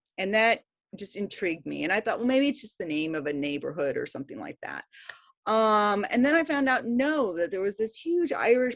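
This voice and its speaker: A woman speaks in an animated tone at a fairly high pitch. The recording is very clean, with a silent background. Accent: American. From New York. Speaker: history professor. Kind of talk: casual interview talk.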